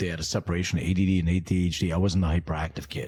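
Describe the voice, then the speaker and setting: A somewhat breathy man in a very clean recording with a silent background. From US (immigrated from Lithuania at six). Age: middle-aged. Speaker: entrepreneur. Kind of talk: interview.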